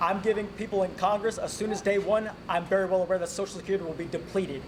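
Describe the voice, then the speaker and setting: Against noticeable background noise, a high-pitched man with an American accent talks at a very fast pace. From North Carolina. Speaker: congressional candidate. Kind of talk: candidate forum. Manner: animated.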